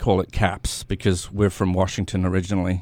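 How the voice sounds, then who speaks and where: This man speaks with a slight British accent. The recording is very clean, with a silent background. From England. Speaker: theatre company founder and playwright. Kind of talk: radio interview. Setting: radio studio.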